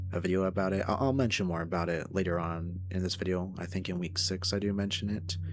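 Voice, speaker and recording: At a very fast pace with hardly any pauses, a man speaks at a very deep, low pitch in a monotone, flat intonation, his loudness very even and the room echo audible. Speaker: vlogger, furry artist. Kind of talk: casual vlog.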